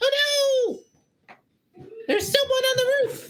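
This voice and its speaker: Shouted put-on character voice at an extremely high pitch and fairly slow pace. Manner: yelling in alarm.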